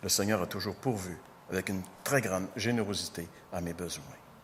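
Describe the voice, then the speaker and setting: A man speaks with a very deep, low pitch and ordinary pitch variation. Long, frequent pauses break up his speech amid audible room echo. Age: 60s. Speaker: pastor. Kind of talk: sermon.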